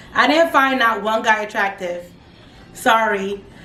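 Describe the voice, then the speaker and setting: Over noticeable background noise and audible room echo, a woman with a fairly high voice speaks at a moderate pace with lively intonation. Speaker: youtuber reviewing reality TV. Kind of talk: casual vlog recap. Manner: loud; animated, dramatic.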